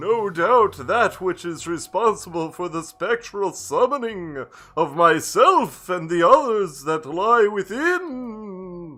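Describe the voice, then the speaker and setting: A put-on character voice sits at a middle pitch and moves at a fairly slow pace. There are hardly any pauses. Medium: game stream. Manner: grandiose, portentous.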